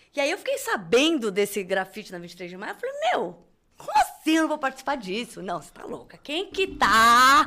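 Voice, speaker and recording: A woman projects her high voice at a moderate pace, with very wide pitch swings and big swings in loudness. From Brazil. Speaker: crochet designer and artisan. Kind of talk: casual chat.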